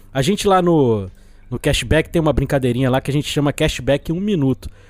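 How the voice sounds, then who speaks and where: The speech moves at a very fast pace in a very clean recording with a silent background. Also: man. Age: 40s. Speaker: film podcast guest. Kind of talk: casual chat.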